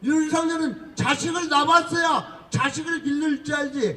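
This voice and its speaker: Noticeable background noise sits behind a man whose raised, projected voice moves at a very slow pace. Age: 70s. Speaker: political activist. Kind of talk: street speech. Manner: loud; animated.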